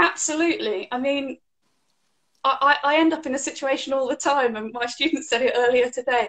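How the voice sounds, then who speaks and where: A woman talks at a fairly quick pace with an English accent. Her pitch is high, with ordinary variation. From England. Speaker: English teacher. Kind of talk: interview answer.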